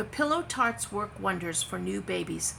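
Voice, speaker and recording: A woman's put-on character voice at a moderate pace, with clear background noise. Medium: read story. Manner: confident, reassuring.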